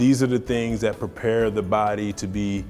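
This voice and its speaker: Over music in the background, a man speaks at a moderate pace in a fairly low pitch. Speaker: former professional football player giving testimonial. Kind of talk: testimonial interview answer.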